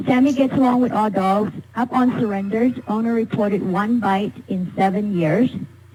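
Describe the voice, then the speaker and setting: Moderate pace, ordinary pitch variation, and noticeable background noise. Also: woman. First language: not English. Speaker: animal rescue volunteer. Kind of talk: public comment at council meeting.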